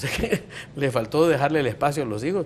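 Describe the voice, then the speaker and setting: This man talks at a very fast pace. His voice sits fairly high. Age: 50s. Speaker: physician. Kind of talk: talk show discussion.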